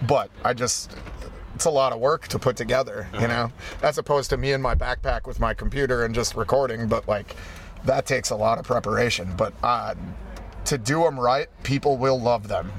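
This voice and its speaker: Clear background noise fills the recording. A man speaks rather quickly over it. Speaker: punk musician. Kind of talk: interview. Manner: direct.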